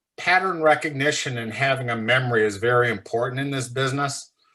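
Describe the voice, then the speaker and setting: This man's voice sits at a medium pitch with ordinary variation and a bright, sharp tone. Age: 60s. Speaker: short seller, fund manager. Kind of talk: podcast interview. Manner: casual, blunt.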